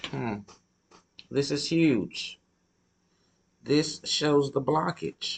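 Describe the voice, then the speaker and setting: Very slow speech from a man, marked by long, frequent pauses. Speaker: tarot reader. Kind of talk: tarot reading. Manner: halting.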